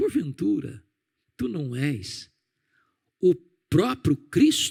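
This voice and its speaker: A man uses a put-on character voice with a hissing quality, speaking very slowly at a fairly high pitch. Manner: seductive, insinuating.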